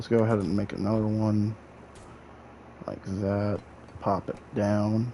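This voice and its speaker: A man with a fairly low voice speaks at a fairly slow pace, leaving long, frequent pauses. Noticeable background noise runs beneath him. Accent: American. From Illinois, US Midwest. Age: 20s. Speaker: gaming streamer. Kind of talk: live gameplay commentary. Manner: animated.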